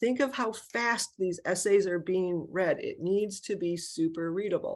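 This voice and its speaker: Over a quiet background, a woman with lively intonation speaks at medium pitch, a plain, everyday voice. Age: 60s. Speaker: college counselor. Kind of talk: webinar presentation. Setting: video webinar.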